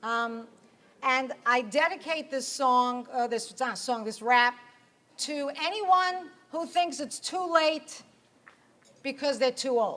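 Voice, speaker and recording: A woman speaks at a high pitch with ordinary pitch variation. Her pace is very slow, with long, frequent pauses. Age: 50s. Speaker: performance poet.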